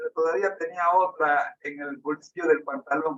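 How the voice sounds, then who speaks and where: Bright and sharp in tone, a man speaks at a fairly slow pace. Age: 60s. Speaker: preacher. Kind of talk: sermon with personal testimony.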